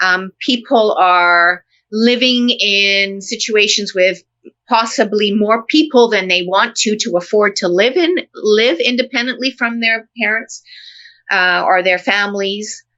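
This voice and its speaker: A woman with a Canadian accent and an ordinary speaking voice, fairly high in pitch, with ordinary pitch variation, very even loudness and a fairly slow pace. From Canada. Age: 60s. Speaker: professor. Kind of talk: casual chat.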